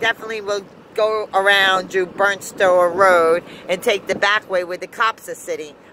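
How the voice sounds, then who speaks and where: With an American accent, a woman speaks at a moderate pace in a dry sound with no echo over noticeable background noise. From US South. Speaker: vlogger. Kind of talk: casual vlog rant. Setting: in a car. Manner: animated. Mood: irritated ranting at road crew. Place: car. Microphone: phone near.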